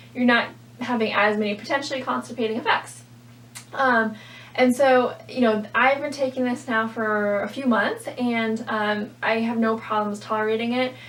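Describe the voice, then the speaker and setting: A woman speaks with monotone, flat intonation at a fairly high pitch, with noticeable background noise around her. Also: moderate pace. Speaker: registered dietitian. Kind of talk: product review vlog.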